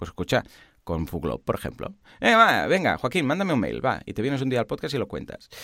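Vocal fry runs through this man's medium-pitched voice as he talks at a fairly quick pace with very wide pitch swings. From Catalonia, Spain. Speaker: online course platform founder, podcast co-host. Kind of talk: casual tech chat. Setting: remote line.

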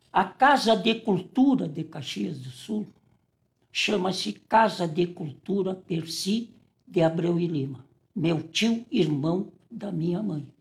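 A man speaks with a high pitch and lively intonation. His pace is very slow. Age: old. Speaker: lawyer. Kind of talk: interview. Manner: halting.

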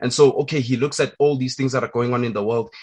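A man is speaking. His voice sounds somewhat breathy. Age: young. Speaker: podcast host. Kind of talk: interview.

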